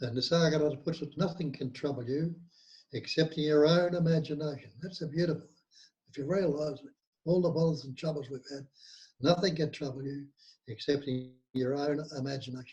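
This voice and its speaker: This man has a dark, mellow, somewhat breathy tone and a fairly high pitch. He talks at a fairly quick pace with fairly even intonation and big swings in loudness. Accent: Australian. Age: 80s+. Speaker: nonduality teacher. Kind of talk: interview.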